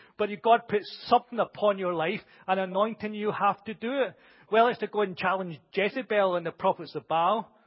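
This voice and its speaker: A loud man's voice, high in pitch for a man, at a fairly quick pace. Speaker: preacher. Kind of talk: sermon. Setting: church with congregation.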